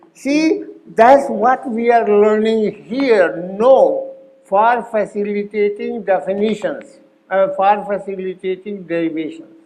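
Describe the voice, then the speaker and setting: A man's high voice at a very slow pace, with ordinary pitch variation and noticeable background noise. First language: not English. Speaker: Sanskrit grammar teacher. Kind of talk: workshop lecture.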